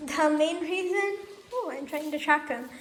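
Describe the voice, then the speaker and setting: A woman speaks with fairly even intonation amid audible room echo. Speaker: pet vlogger. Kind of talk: casual vlog talk. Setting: home, with pet rabbits.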